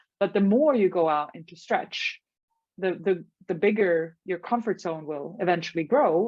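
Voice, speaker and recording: In a Swedish accent, a woman talks at a medium pitch. Her loudness swings a lot. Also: lively intonation, moderate pace. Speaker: life coach. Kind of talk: podcast interview. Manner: halting.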